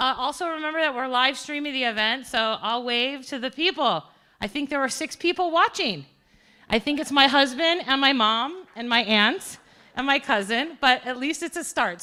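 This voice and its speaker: This woman's voice is high, bright and sharp, raised and projected with an animated tone. She goes at a fairly quick pace on a very clean recording with a silent background. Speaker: event host and communication studies professor. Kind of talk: live event introduction. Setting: stage with audience. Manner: loud.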